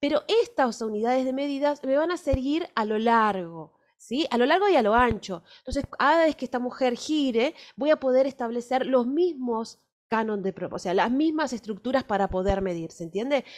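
With an Argentine accent and lively intonation, a woman speaks in a high pitch against a quiet background. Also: moderate pace. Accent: Argentine Spanish (Rioplatense). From Argentina. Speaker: fashion illustration teacher; fashion drawing teacher. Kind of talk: workshop lecture with live drawing; lecture. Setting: recorded video workshop, on camera. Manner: hesitant, many fillers. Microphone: webcam.

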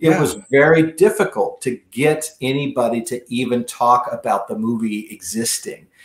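Moderate pace with hardly any pauses, audible room echo, and a quiet background. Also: man. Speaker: remote podcast guest, attorney. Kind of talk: interview answer. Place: home room.

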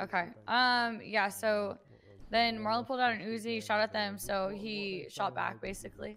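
A woman's fairly high voice has a bright, sharp tone and fairly even intonation. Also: moderate pace. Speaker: roleplay gamer playing a police officer. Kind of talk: in-character roleplay dialogue.

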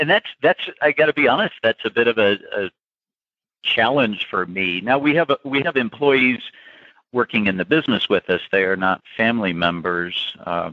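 A man talks at a moderate pace with lively intonation. It is a plain, everyday voice. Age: 50s. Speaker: food company founder. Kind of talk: interview.

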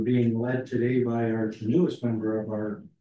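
A man at a fairly slow pace with monotone, flat intonation, light background noise and audible room echo. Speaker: meeting chair opening council session. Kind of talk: formal meeting chairing. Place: hall. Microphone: podium.

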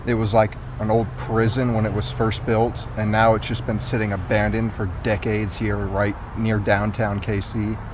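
A man speaks at a moderate pace with a fairly low pitch and fairly even intonation. The sound is dry with no echo, though background noise is noticeable. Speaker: urban explorer vlogger. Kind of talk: casual vlog chat. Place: street. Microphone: phone near.

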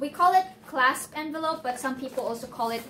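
A woman speaks in a raised, projected voice with ordinary pitch variation over light background noise. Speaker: visa process vlogger. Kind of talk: tutorial. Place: home room. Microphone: phone near.

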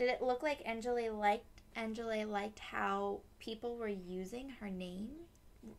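Heard here is an unforced reading voice with ordinary pitch variation.

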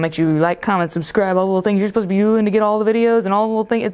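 A woman talks with a Southern US accent. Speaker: gaming video creator. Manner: fast talker.

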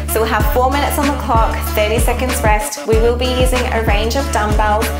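The speech comes at a fairly quick pace with clear music in the background. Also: woman. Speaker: fitness instructor. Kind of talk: workout instruction. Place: home room. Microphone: lapel.

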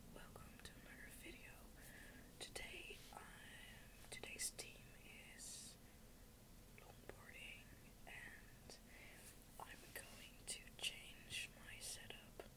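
Loud background noise sits under very slow speech broken by long, frequent pauses. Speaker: ASMR creator. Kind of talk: ASMR talk to camera. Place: home room.

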